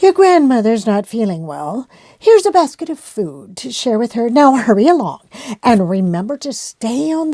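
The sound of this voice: An unforced reading voice carries the whole clip.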